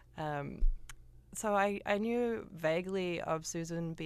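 A New Zealand accent with ordinary pitch variation. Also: woman. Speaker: composer. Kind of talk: interview. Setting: studio.

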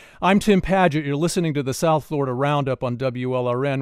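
A man with an ordinary speaking voice, fairly high in pitch, talks with ordinary pitch variation in a dry, close sound with no echo against a quiet background. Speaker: radio talk show host. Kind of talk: call-in radio talk show. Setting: radio studio.

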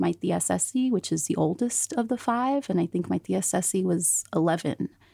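Speaking with an American accent, a woman uses a fairly low pitch at a moderate pace. The recording is very clean with a silent background and a dry, close sound with no echo. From Central Valley, California. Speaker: reporter. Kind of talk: casual chat.

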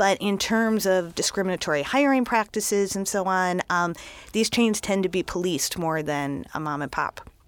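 In a plain, everyday voice, a woman with medium pitch and lively intonation is heard on a very clean recording with a silent background. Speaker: food critic. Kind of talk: radio interview. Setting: studio.

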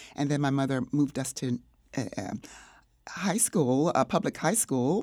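On a very clean recording with a silent background, a woman with an American accent speaks fairly slowly in a very deep, low pitch, her intonation lively. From North Carolina (Kinston). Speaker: playwright and filmmaker. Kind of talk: interview.

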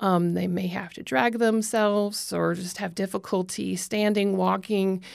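A woman with a plain, everyday voice at medium pitch, fairly even intonation, a fairly slow pace and hardly any pauses, in a very clean recording with a silent background. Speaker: environmental policy manager. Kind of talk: radio interview.

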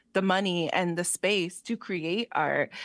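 A woman with a plain, everyday voice in an American accent, medium in pitch, at a moderate pace, against a quiet background with a dry, close sound and no echo. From Allentown, Pennsylvania. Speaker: artist and exhibition creator. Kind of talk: radio interview.

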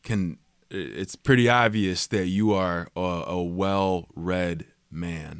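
On a very clean recording with a silent background, a man with a very deep, low pitch speaks at a very slow pace with ordinary pitch variation. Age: 40s. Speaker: radio host. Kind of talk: interview.

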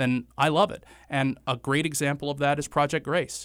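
Someone with an American accent talks at a fairly quick pace. It is a plain, everyday voice. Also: man, very clean recording, silent background. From western North Carolina (Morganton, foothills). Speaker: county commissioner and lawyer. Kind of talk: interview. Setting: radio studio.

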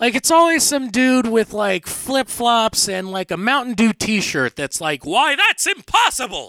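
With a raised, projected voice at an extremely high pitch, a man speaks fairly slowly with lively intonation and hardly any pauses, in a dry, close sound with no echo. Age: 30s. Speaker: comedian. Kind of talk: stand-up. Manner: animated.

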